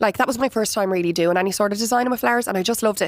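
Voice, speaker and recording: A woman speaks in a Dublin accent with ordinary pitch variation. The recording is very clean, with a silent background. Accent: Irish (Dublin). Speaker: florist and business founder. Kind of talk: interview. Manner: loud and chatty; animated.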